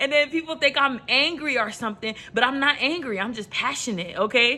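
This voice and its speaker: In an American accent, a raised, projected voice moves at a fairly quick pace with ordinary pitch variation over noticeable background noise. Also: woman, high pitch for a woman. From New York. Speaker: motivational vlogger. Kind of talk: motivational talk to camera. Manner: casual; passionate, rises in pitch.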